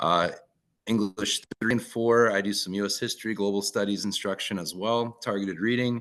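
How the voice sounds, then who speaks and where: Fairly low-pitched man with a Minnesotan accent, at a moderate pace. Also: quiet background. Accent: Minnesota. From northern Minnesota. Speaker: teacher. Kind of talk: online presentation.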